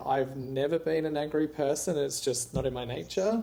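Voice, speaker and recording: A man with a strong Australian accent speaks at a moderate pace, his fairly high voice carrying a dark, mellow tone. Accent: Australian accent, still strong. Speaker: entrepreneur and author. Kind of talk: interview.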